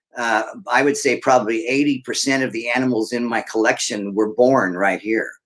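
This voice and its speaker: A man with a plain, everyday voice speaks at medium pitch and a fairly quick pace, keeping his intonation fairly even. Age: 60s. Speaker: snake breeder. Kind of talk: casual chat.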